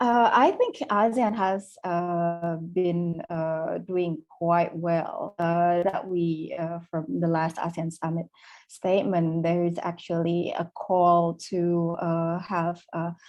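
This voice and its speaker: A woman speaks at a very slow pace and a fairly low pitch. Her intonation is fairly even, with hardly any pauses. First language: not English. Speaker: policy expert panelist. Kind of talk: webinar panel discussion. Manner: halting, many fillers.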